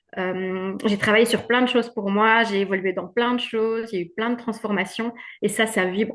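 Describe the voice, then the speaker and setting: A woman's fairly high, monotone voice with a Belgian accent, flat in intonation, at a moderate pace over a quiet background. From Belgium. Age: 50s. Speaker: women's wellbeing coach. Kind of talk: testimony.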